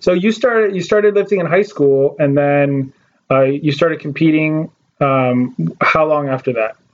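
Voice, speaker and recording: At a moderate pace, a man speaks in a plain, everyday voice, fairly high in pitch, with ordinary pitch variation and very even loudness. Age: 20s. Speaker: podcast host. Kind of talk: casual interview chat.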